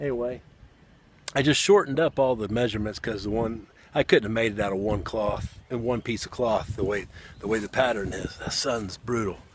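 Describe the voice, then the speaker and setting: Fairly quick and fairly even in intonation, this man speaks with a Southern US accent. His pitch sits at a medium level. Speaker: outdoorsman, bushcraft hobbyist. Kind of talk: casual talk to camera.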